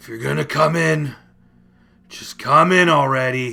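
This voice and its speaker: At a moderate pace, a man does a put-on character voice at a medium pitch. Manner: dejected, angry, impatient.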